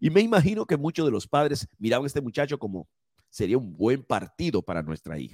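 On a very clean recording with a silent background and a dry, close sound with no echo, a man with medium pitch and vocal fry talks at a moderate pace with very wide pitch swings. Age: 50s. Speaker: preacher. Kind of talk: sermon.

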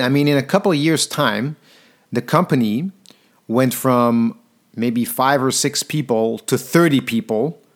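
On a very clean recording with a silent background, a man with a Flemish accent talks at a moderate pace in a fairly high pitch. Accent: Belgian Dutch (Flemish) accent in English. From Belgium, Antwerp. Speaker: podcaster and speaker. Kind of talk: storytelling monologue.

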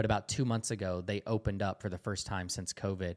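Recorded very cleanly with a silent background and a dry, close sound with no echo, a man with a Southern US accent talks at a very fast pace in a fairly low voice with ordinary pitch variation. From US South, Georgia. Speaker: missionary. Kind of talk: interview testimony.

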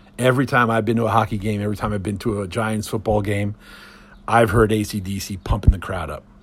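Fairly low-pitched and somewhat breathy, this man talks with an American accent and a fairly even intonation. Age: 50s. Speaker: podcast host. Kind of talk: solo podcast monologue. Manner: casual, many filler words.

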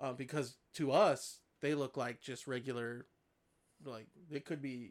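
In an unremarkable speaking voice, a man speaks at a moderate pace with a fairly high pitch and fairly even intonation. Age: 30s. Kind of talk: casual chat.

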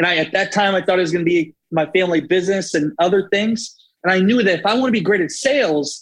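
Very fast and animated, a man talks in a high pitch with ordinary pitch variation. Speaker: video producer and speaker. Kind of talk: podcast interview, storytelling. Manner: animated, motivational.

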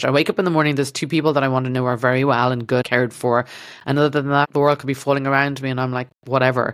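Someone talks at a very fast pace in an Irish accent, captured in a very clean recording with a silent background. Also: woman. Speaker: podcast host, doctor turned stand-up comedian. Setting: studio.

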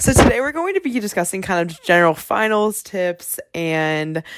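A woman with an American accent talks at a fairly low pitch for a woman. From US South, South Carolina. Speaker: student podcast host. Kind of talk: casual chat.

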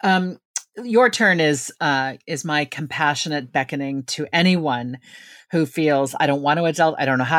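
A woman with an American accent speaks at a moderate pace. Her pitch is very deep and low, with ordinary pitch variation. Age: 50s. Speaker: author. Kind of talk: casual chat.

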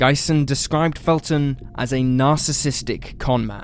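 Here a man has a normal speaking voice with a fairly high pitch. He talks at a fairly slow pace. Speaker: true crime channel narrator. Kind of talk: true-crime narration, scripted case retelling in a steady, serious documentary style. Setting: video channel voiceover. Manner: measured, even-paced and somber, reads the facts in a flat, matter-of-fact tone.

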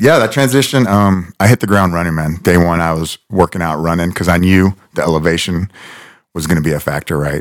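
Speaking with an American accent, a man with a very deep, low pitch talks at a fairly quick pace with ordinary pitch variation, the sound dry and close with no echo. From South Florida. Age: 40s. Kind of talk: casual chat.

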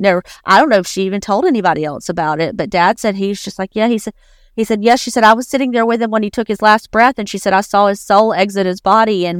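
In an Appalachian accent, a woman talks at a medium pitch with ordinary pitch variation, the sound dry and close with no echo on a very clean recording with a silent background. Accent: Southern US Appalachian. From US South, northeastern Alabama (Appalachia). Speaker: writer. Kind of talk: casual chat. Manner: halting.

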